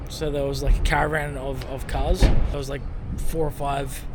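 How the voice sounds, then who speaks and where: A man talks with an Australian accent. Room echo is audible, and background noise is noticeable. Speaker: travel vlogger. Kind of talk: casual vlog narration.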